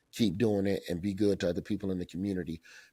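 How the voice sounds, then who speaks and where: A man with an American accent and a dark, mellow tone speaks in a fairly low pitch, in a very clean recording with a silent background. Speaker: comedian and TV host. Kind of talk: podcast interview answer, conversational.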